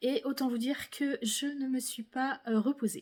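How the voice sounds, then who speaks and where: A woman speaks at a very slow pace in a high voice. Her pitch varies in an ordinary way. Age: 50s. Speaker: knitting podcaster. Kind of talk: casual monologue podcast. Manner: hesitant, many fillers.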